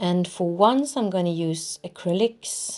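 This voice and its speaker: A woman's medium-pitched voice in a Swedish accent, at a fairly slow pace. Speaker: art journaling youtuber. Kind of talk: crafting tutorial voiceover. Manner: hesitant, searching for words; casual, chatty.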